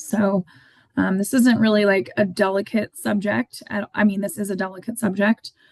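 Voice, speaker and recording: With an American accent, a woman speaks in a somewhat breathy voice at medium pitch, with ordinary pitch variation and a dry, close sound with no echo. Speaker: podcast co-host. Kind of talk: casual podcast chat. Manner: hesitant, many filler words.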